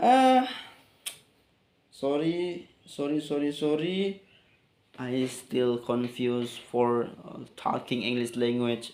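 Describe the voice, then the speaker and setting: Speaking at a medium pitch with ordinary pitch variation, a man talks at a very slow pace. His speech has long, frequent pauses. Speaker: English learner vlogger. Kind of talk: casual monologue. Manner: halting.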